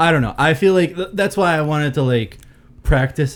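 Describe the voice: Lively intonation marks a normal speaking voice from a man going at a fairly quick pace.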